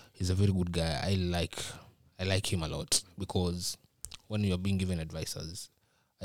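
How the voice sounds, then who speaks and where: A man with a Kenyan accent, very deep, low pitch and monotone, flat intonation, in a very clean recording with a silent background. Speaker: university student. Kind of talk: casual chat. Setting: studio.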